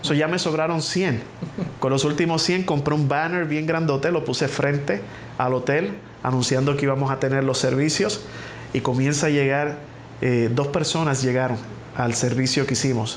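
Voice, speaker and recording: A man with a Puerto Rican accent at a fairly high pitch, very even in loudness and fairly even in intonation, with audible room echo and noticeable background noise. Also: moderate pace. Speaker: pastor. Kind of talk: testimony.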